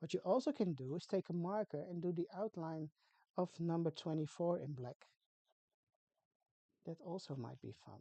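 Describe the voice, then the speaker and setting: In a Dutch accent, the speech moves at a moderate pace with long, frequent pauses, lively intonation and big swings in loudness. The tone is dark and mellow, and the sound is dry and close with no echo. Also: woman, fairly low pitch for a woman. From Netherlands. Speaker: craft tutorial creator. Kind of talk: tutorial. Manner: casual, chatty with hesitations.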